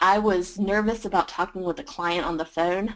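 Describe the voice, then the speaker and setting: The speaker talks at a fairly slow pace with a Southern US accent. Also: woman. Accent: Southern US drawl. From US South, Georgia. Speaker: freelance writer. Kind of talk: webinar presentation.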